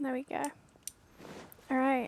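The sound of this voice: In a dry, close sound with no echo, a woman talks slowly at a high pitch with monotone, flat intonation.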